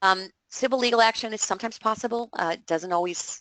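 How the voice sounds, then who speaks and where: Fairly quick speech with ordinary pitch variation, dry and close with no echo, over a quiet background. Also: woman. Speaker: fraud prevention educator. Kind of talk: webinar presentation. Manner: fast.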